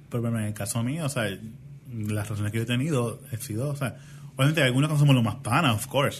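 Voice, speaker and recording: Somewhat breathy, a man talks at a very fast pace. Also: medium pitch for a man, ordinary pitch variation. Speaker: podcast co-host. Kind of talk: casual chat.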